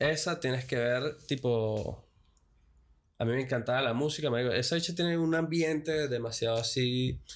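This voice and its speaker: A man in a normal speaking voice, medium in pitch and fairly slow, with ordinary pitch variation and very even loudness, on a very clean recording with a silent background. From Venezuela. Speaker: podcast guest. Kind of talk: casual chat. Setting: studio.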